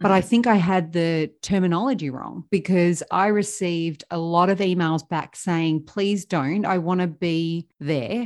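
A woman with an Australian accent speaks at a moderate pace and fairly low pitch, with ordinary pitch variation. She hardly pauses, and the background is quiet. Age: 40s. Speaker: podcast host, financial coach. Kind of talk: interview.

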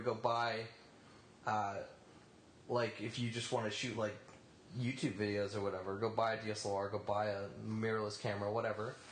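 Heard at a moderate pace, the speech comes through noticeable background noise and audible room echo. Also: man. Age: 20s. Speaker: podcast panelist. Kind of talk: casual chat.

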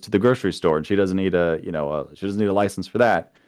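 A man's very deep, low voice against a quiet background. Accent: American. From Florida. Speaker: gun YouTuber. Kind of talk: casual chat.

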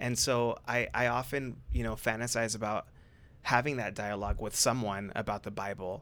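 Speaking with a Californian accent, a man with a medium pitch and vocal fry keeps a moderate pace and fairly even intonation on a very clean recording with a silent background. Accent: Californian American English. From Southern California. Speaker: psychotherapist. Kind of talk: casual chat. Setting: studio.

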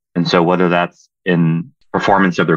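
Dry and close with no echo over a quiet background, a man with an American accent speaks at a moderate pace in a very deep, low voice. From Southern California. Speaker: military officer. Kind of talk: interview.

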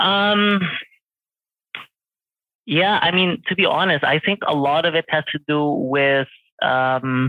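This man has a fairly high pitch and fairly even intonation. He talks at a slow pace with long, frequent pauses, in a dry, close sound with no echo.

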